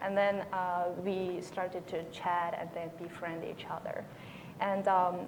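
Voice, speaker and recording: A woman with a Korean accent speaks very slowly at a medium pitch, her intonation monotone and flat. Noticeable background noise and audible room echo fill the recording. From North Korea, raised in China. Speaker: North Korean defector, panelist. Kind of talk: panel discussion. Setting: conference panel with audience. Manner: halting, many fillers.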